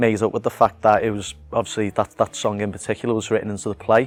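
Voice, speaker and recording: Against music in the background, a man with a Liverpool accent speaks at medium pitch in a monotone, flat intonation, with a dry, close sound and no echo. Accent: Liverpool (Scouse). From Liverpool, England. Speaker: actor and musician. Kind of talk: interview answer about his acting role. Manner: casual, conversational, friendly.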